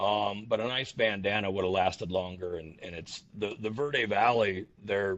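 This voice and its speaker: Pitched fairly low, a man's voice moves with ordinary pitch variation. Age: 60s. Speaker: ultra runner. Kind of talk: podcast interview. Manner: halting, many repeated words.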